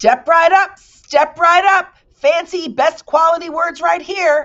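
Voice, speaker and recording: This put-on character voice has an extremely high pitch and moves at a fairly slow pace. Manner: hawking.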